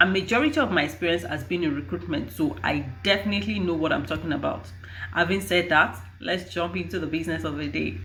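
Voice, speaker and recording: A woman's very deep, low voice, bright and sharp in tone, with vocal fry, very wide pitch swings, a very fast pace and audible room echo. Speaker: HR and recruitment professional. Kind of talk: advice vlog. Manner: halting.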